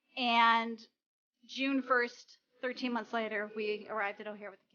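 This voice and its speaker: In an American accent, a woman with a fairly high pitch talks at a moderate pace, her intonation flat and monotone while her loudness swings widely. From Chicago area, Illinois. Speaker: office employee, adoptive parent. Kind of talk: interview testimony.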